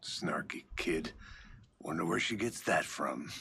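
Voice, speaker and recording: Speaking at a fairly slow pace, this man uses a put-on character voice. That voice is raspy. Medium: video game. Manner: dry, deadpan.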